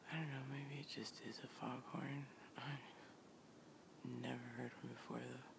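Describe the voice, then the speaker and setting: Long, frequent pauses break up a fairly slow whisper heard against noticeable background noise. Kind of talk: casual phone recording narration. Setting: outdoors, at night. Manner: whispered.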